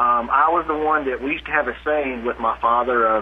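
Medium-pitched man with a South Carolina accent, over noticeable background noise. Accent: Southern US (South Carolina). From US South, upstate South Carolina. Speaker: chiropractor and technique teacher. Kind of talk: interview.

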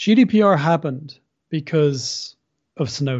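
Somewhat breathy speech with lively intonation in an Irish accent. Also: man. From Ireland. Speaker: civil liberties litigator. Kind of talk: interview.

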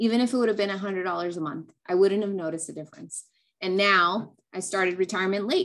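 A woman speaks at a very fast pace. Her pitch is medium. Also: ordinary pitch variation. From California. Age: 30s. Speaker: tax accountant. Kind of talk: interview.

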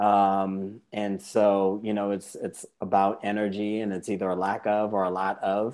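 Fairly slow, monotone, flat delivery with an American accent and hardly any pauses. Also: man, fairly low pitch for a man. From Massachusetts, South Shore of Boston. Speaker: psychologist. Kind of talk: interview. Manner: hesitant, many fillers.

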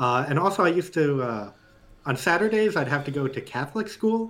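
The intonation is lively and the pace moderate. It is a normal speaking voice. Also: man. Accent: American. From New York. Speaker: animation director. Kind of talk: casual chat.

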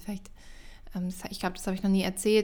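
A woman speaks at medium pitch. Her intonation stays monotone and flat. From Germany, Mönchengladbach (Lower Rhine). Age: 30s. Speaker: podcast host and coach. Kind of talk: casual solo monologue. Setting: at home.

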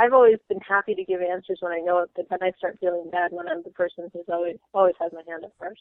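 A woman with an American accent and a plain, everyday voice speaks fairly quickly at a medium pitch with fairly even intonation. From Florida. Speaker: MBA student. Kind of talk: casual chat.

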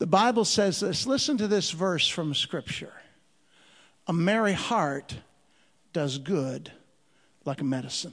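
Over a quiet background, a man with an American accent and a high pitch speaks at a fairly slow pace, with lively intonation and long, frequent pauses. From Chicago, US Midwest. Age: 50s. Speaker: comedian and missionary. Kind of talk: stand-up comedy with sermon-style preaching, heartfelt church message. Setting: church stage with live audience. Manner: punchy, mixing jokes with earnest exhortation.

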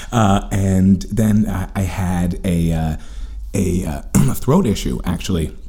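A man's very deep, low voice in an American accent, very slow in pace, with ordinary pitch variation and noticeable background noise. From New York City, Manhattan. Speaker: comedian. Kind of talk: casual chat.

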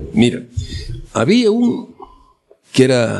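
A male voice with very wide pitch swings. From Galicia, Arteixo (A Coruña). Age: 80s+. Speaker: elderly villager telling life story. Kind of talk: oral history interview. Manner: halting.

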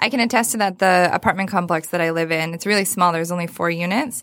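A woman with an unremarkable speaking voice, recorded very cleanly against a silent background. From Michigan (Saginaw). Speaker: nonprofit fundraising executive. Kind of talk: interview conversation.

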